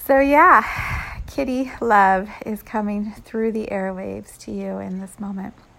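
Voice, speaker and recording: There is noticeable background noise as a woman speaks at a very slow pace. Her loudness swings widely. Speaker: spiritual podcaster and energy healer. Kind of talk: spiritual channeled message. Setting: home bedroom.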